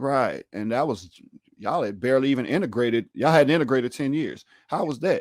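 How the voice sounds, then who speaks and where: Speaking very fast with lively intonation, a medium-pitched man talks in a Louisiana accent. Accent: Southern US, Louisiana. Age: 30s. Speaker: podcast host. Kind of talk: casual chat.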